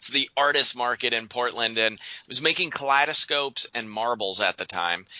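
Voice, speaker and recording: A man speaks with an American accent in a normal speaking voice, at a medium pitch. His pace is fairly quick. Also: ordinary pitch variation. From Western Pennsylvania. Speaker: naturopathic doctor. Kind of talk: interview.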